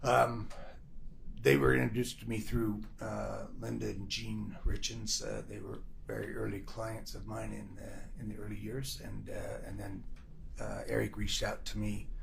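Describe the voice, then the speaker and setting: A quiet man at a moderate pace, with audible echo from the room. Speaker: trial witness, insurance agent. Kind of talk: witness testimony. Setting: courtroom. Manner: quiet, speaking too low; halting, many fillers. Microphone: too far from microphone, too quiet.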